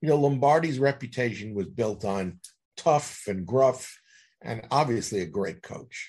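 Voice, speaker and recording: With an American accent, a man talks at a fairly slow pace in a medium pitch, his somewhat breathy voice carrying lively intonation over a quiet background. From New York City (Queens). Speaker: author. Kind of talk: interview.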